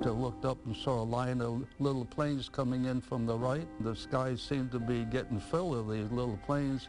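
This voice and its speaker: A man with an American accent speaks with fairly even intonation and very even loudness over music in the background. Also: medium pitch for a man, moderate pace, hardly any pauses. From Pensacola, Florida. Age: 80s+. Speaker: war veteran. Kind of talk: interview answer.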